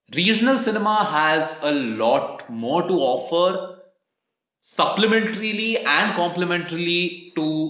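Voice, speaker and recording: A man speaks with a Keralan accent. Audible room echo surrounds his voice. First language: Malayalam. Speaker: film podcast host. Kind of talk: casual podcast discussion.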